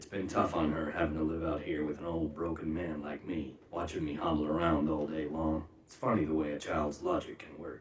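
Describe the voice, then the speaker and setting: In a put-on character voice, a man speaks very deep and low, raspy and flat in a monotone. He moves at a fairly quick pace, and his loudness swings a lot. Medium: fan dub.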